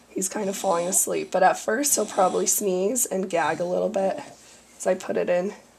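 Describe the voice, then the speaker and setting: With noticeable background noise around her, the woman talks at a moderate pace. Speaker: parent of a tube-fed child. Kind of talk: instructional demonstration.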